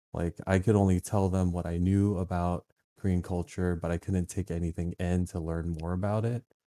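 A man's very deep, low voice with a dark, mellow tone and an American accent, monotone and flat at a moderate pace, in a dry, close sound with no echo and a very clean recording over a silent background. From Virginia, US. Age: 30s. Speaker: photographer and video editor. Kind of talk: casual interview chat.

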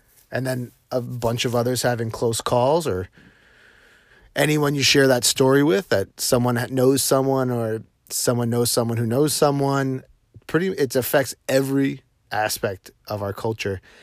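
A man with a normal speaking voice at medium pitch and ordinary pitch variation, on a very clean recording with a silent background. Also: moderate pace. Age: 30s. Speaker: social media vlogger. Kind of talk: casual monologue. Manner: informal, loose.

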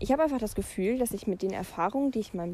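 This woman's voice sits fairly high in pitch and moves with ordinary pitch variation. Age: young. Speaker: podcaster. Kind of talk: casual monologue. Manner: hesitant, many filler sounds.

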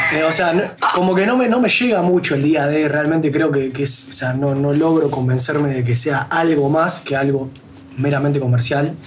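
Amid audible room echo and noticeable background noise, a man with a fairly high pitch keeps very even loudness, a moderate pace and ordinary pitch variation. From Montevideo, Uruguay. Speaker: radio co-host. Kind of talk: casual chat.

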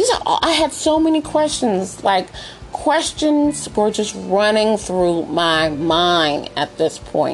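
A woman at a fairly high pitch with very wide pitch swings, very even loudness and a very slow pace, over noticeable background noise. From US. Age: 30s. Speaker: podcast host. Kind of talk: personal storytelling monologue. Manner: animated.

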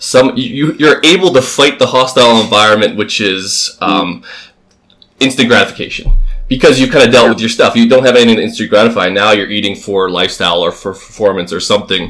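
A man has an unremarkable speaking voice at medium pitch. He talks at a fairly quick pace. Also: ordinary pitch variation. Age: 20s. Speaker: podcast co-host. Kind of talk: casual chat.

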